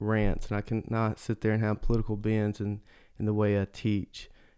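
A man with a Mississippi accent speaks at a fairly low pitch. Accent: Southern US (Mississippi). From US South, Mississippi. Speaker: church staff, podcast co-host. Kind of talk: casual chat.

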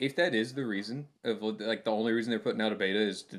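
A man has an unremarkable speaking voice at a medium pitch. He talks at a fairly quick pace. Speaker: podcast co-host. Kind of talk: casual chat.

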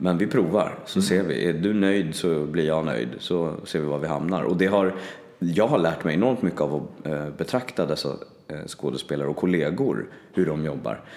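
A man speaks at a moderate pace with a very deep, low pitch, lively intonation and vocal fry. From Stockholm, Sweden (southern suburbs). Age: 30s. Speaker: voice actor. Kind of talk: casual chat.

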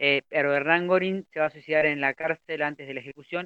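Fairly high, monotone, flat delivery from a man at a moderate pace, in a dry, close sound with no echo. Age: 30s. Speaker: community radio host. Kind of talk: history segment reading. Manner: sounds older than his age.

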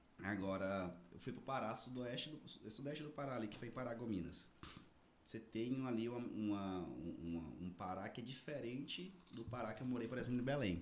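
This man has a normal speaking voice at a medium pitch, with lively intonation. He keeps a moderate pace. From Tocantins, Brazil (Araguaína). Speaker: finance professional. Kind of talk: casual chat. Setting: studio.

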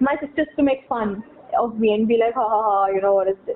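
Speaking at a very fast pace, a woman uses a fairly high pitch with ordinary pitch variation against noticeable background noise. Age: 20s. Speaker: podcast guest. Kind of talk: casual chat.

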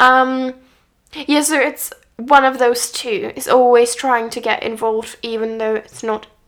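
Fairly slow pace, fairly even intonation and big swings in loudness from a high-pitched woman with a Czech accent. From Czech Republic. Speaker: podcast co-host, learning musician. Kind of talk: casual chat. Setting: on a sofa at home.

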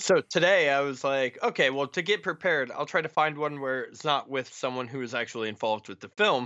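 In a normal speaking voice, a man with a fairly high pitch talks at a fairly quick pace with lively intonation and hardly any pauses. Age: 30s. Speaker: horror film writer and podcaster. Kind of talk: casual chat.

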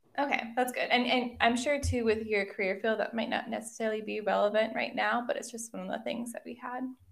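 A woman's fairly high voice at a very fast pace, flat and monotone in intonation. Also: hardly any pauses. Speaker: podcast co-host. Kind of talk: casual chat.

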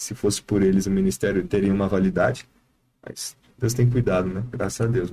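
At a fairly quick pace, a man speaks with a fairly low pitch and a dark, mellow tone, with ordinary pitch variation and big swings in loudness. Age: 20s. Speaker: evangelist. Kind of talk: casual chat.

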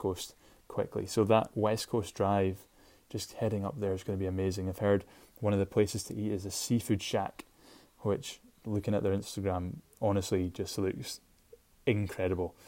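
In a Shetland accent, a man speaks at a moderate pace in a dark, mellow tone with fairly low pitch, on a very clean recording with a silent background. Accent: Scottish (Shetland). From Scotland, Shetland. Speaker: podcast host. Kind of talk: casual solo podcast monologue.

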